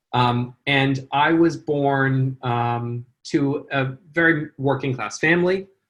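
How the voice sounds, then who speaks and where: A man with an American accent, fairly high in pitch, at a very slow pace with fairly even intonation and hardly any pauses. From California. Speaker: charity founder and CEO. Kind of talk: interview. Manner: hesitant, many fillers.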